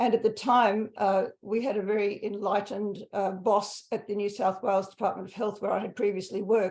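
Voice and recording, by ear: At a moderate pace, the voice shows little pitch movement and a slightly mellow tone. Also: woman, medium pitch for a woman.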